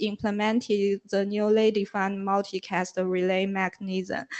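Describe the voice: A woman at medium pitch and slow pace, with a clear, smooth, slightly mellow tone and little pitch movement.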